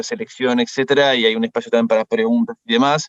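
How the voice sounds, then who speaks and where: A man's voice, dry and close with no echo. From France. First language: French (speaking Spanish). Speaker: management consultant. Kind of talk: workshop presentation. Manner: hesitant, many fillers.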